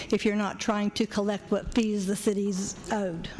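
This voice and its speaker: Using a normal speaking voice, a woman speaks at a moderate pace and a medium pitch. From southern Ohio. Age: 60s. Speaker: citizen speaking at public forum. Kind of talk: public comment at town meeting. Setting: public forum with audience.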